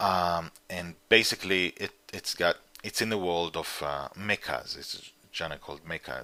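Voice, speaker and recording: A man with an Israeli accent speaks at a fairly slow pace, his very deep, low pitch paired with a bright, sharp tone and vocal fry. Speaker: comic book writer and publisher. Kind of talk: interview. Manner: halting.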